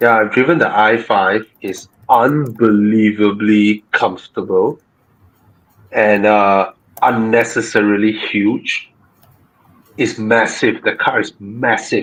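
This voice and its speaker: A man with a Malaysian accent at a very slow pace. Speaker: car show host. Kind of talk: live Q&A chat. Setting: live stream. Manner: soft-spoken.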